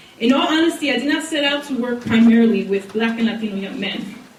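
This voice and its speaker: Heard through noticeable background noise and audible room echo, a woman with a fairly high pitch speaks at a fairly quick pace. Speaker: college program director, social worker panelist. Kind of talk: prepared speech. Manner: soft-spoken.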